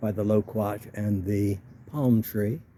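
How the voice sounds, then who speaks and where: A relaxed, somewhat breathy man's voice, dark and mellow in tone and fairly low in pitch. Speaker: home gardener. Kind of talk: casual talk to camera, garden walk-through. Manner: relaxed, conversational.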